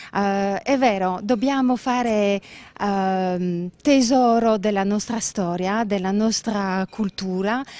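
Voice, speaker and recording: Recorded with a dry, close sound and no echo, a woman with a French accent speaks in a fairly even intonation. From Belgium, Brussels. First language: French (speaking Italian). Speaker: business owner. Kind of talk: interview. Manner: halting.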